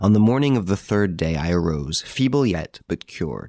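In a very clean recording with a silent background and a dry, close sound with no echo, a man talks at a moderate pace in a very deep, low pitch. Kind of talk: audiobook reading of a novel, narrated. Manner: measured, storytelling narration with dramatized dialogue.

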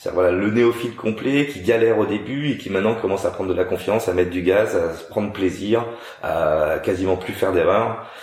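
Fairly quick male speech over a noticeable layer of background noise. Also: ordinary pitch variation. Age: 40s. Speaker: racing driver and TV car tester. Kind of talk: casual interview.

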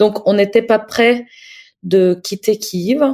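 A dark, mellow tone in a Russian accent, very slow in pace, with fairly even intonation. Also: woman. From Ukraine. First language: Russian (speaking French). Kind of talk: interview; diary reading. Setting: video call.

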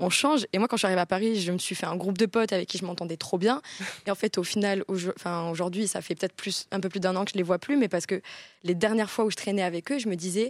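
A woman speaks at a fairly quick pace in a medium pitch with ordinary pitch variation, the sound dry and close with no echo, on a very clean recording with a silent background. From south-west France, Bayonne. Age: 20s. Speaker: content creator. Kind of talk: casual chat.

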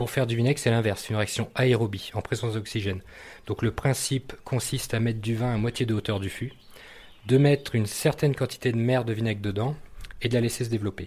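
A man talks at a very fast pace, his voice somewhat breathy. His pitch is medium, with ordinary variation. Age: 40s. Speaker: artisan vinegar and mustard maker. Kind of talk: interview. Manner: hesitant, many fillers and repetitions.

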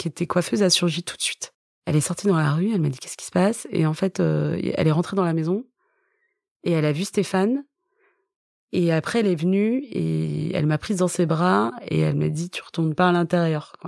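A woman with a fairly low voice speaks at a fairly quick pace with ordinary pitch variation, recorded very cleanly against a silent background with a dry, close sound and no echo. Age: 40s. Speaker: author. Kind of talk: testimony. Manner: halting.

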